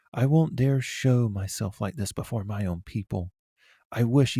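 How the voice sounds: In a natural reading voice with ordinary pitch variation, the speaker is heard over a quiet background.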